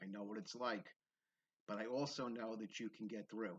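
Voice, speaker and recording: A man with a Bronx accent, medium pitch and fairly even intonation. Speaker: spiritual video creator. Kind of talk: personal testimony monologue. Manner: occasional stumbling over words, repetitions; conversational, frequent tag 'okay?'.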